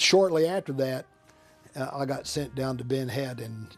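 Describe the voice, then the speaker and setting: A man speaks at a medium pitch with ordinary pitch variation. Music plays in the background. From Central Texas. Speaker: Vietnam War veteran, attorney. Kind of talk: interview answer.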